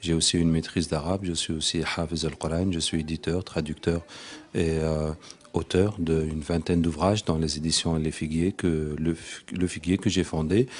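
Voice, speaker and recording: This man's voice sits very deep and low. He talks at a moderate pace with monotone, flat intonation. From Tunisia. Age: 40s. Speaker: Quranic healer. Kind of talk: interview.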